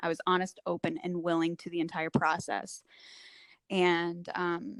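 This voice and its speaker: In an unremarkable speaking voice, a woman talks at a fairly slow pace, her fairly low pitch held in fairly even intonation. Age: 40s. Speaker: recovery coach. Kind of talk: interview testimony. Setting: podcast interview.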